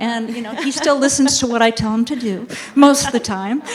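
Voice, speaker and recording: Speech moves at a fairly quick pace. Noticeable background noise runs underneath. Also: woman. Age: 60s. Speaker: dermatologist. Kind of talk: panel discussion.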